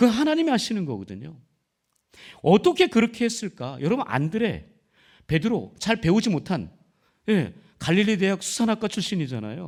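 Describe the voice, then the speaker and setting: In a very clean recording with a silent background, a high-pitched man talks at a moderate pace, his pitch swinging very widely between long, frequent pauses. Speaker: pastor. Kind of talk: sermon. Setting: church. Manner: loud, forceful.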